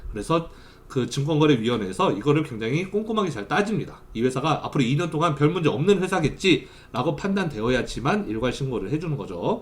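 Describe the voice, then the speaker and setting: The voice is somewhat breathy, racing along at a fairly quick pace with hardly any pauses and very wide pitch swings. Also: man, fairly high pitch for a man. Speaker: university lecturer. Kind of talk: lecture; recorded online class. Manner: fast during lecture.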